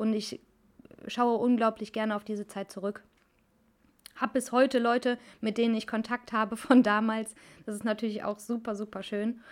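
A woman talks in a fairly high pitch at a moderate pace, her intonation monotone and flat, with long, frequent pauses. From Cologne, Germany. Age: 20s. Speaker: hairdresser podcast host. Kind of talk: casual personal monologue.

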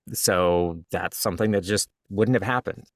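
Recorded very cleanly against a silent background, the man's voice sits fairly low in pitch. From US South. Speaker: author and audiobook narrator. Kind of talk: interview. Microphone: studio-quality audio.

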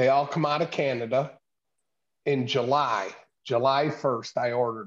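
Speaking at a moderate pace with a medium pitch and ordinary pitch variation, a man leaves long, frequent pauses and swings widely in loudness. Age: 60s. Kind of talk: casual chat.

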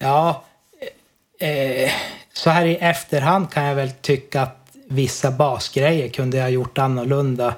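Here a man has an unremarkable speaking voice pitched fairly high. He talks at a fairly slow pace with fairly even intonation. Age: 40s. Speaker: amateur musician. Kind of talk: casual interview. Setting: Skype call.

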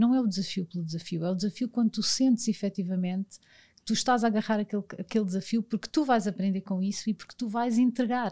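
A woman speaks at a very fast pace in a fairly high, somewhat breathy voice with a dark, mellow tone. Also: very clean recording, silent background. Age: 40s. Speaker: sports federation commercial director. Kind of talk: interview. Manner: animated.

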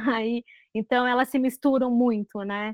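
Monotone, flat intonation from a woman speaking fairly slowly. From Rio Grande do Sul, Brazil. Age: 40s. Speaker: screenwriter. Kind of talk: interview.

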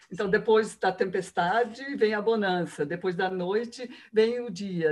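A fairly high-pitched woman's voice. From Rio de Janeiro, Brazil. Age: 60s. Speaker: biographical counselor. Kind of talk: interview.

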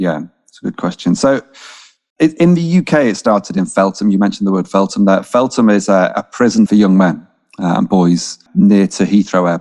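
A man with a Mancunian accent speaks at a moderate pace in a fairly low, dark and mellow voice, his loudness swinging widely, and the sound is dry and close with no echo. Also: lively intonation. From Manchester, northern England. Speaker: charity chief executive. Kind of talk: interview conversation. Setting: video call.

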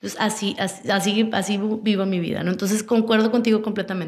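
The speaker is a woman with a fairly high pitch. She moves at a fairly quick pace. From Monterrey, Mexico. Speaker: communications professional and entrepreneur. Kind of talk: interview.

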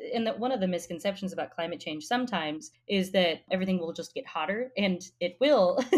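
A woman with an unremarkable speaking voice and an American accent, medium pitch, fairly quick pace, lively intonation and hardly any pauses. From Colorado. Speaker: podcast guest. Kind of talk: political discussion podcast.

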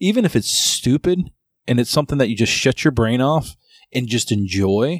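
An ordinary speaking voice from a man at medium pitch and moderate pace, dry and close with no echo, on a very clean recording with a silent background. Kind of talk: casual banter, profane, comedic podcast chat. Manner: relaxed, conversational.

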